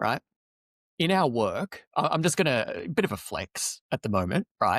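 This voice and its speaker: A man with an Australian accent at a moderate pace, the sound dry and close with no echo. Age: 40s. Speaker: loneliness advocate, podcast guest. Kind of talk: podcast interview. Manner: animated.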